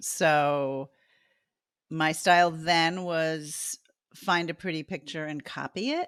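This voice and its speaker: Recorded very cleanly over a silent background with a dry, close sound and no echo, a woman speaks with an American accent in a very deep, low pitch. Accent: New Jersey accent, comes out at times. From New Jersey. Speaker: artist. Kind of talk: interview.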